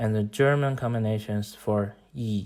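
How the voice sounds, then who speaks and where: A man with a Chinese accent and a medium pitch, speaking at a fairly slow pace, on a very clean recording with a silent background. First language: Mandarin Chinese. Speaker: language-learning YouTuber. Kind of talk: tutorial. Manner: formal.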